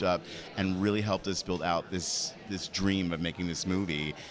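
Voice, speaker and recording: A man, with noticeable background noise. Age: 50s. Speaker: film producer. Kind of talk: red carpet interview.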